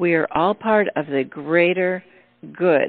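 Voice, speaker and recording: A woman speaks at a fairly slow pace with a medium pitch. Her pitch varies in an ordinary way. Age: 60s. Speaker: radio host. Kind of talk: casual chat.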